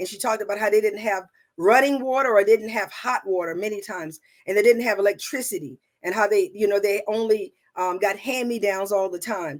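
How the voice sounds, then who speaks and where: In a Southern US accent, a woman of medium pitch talks at a fairly quick pace, with ordinary pitch variation and big swings in loudness. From US South (South Carolina). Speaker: conference speaker and business consultant. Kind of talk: conference talk. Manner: halting, many fillers.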